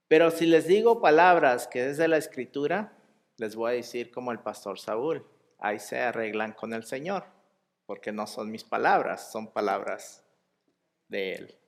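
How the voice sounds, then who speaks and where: A man with a medium pitch speaks at a fairly slow pace, his intonation lively and his loudness swinging widely. The recording is very clean, with a silent background. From US, El Paso, Texas. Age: 30s. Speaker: lay preacher. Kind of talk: sermon. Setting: church.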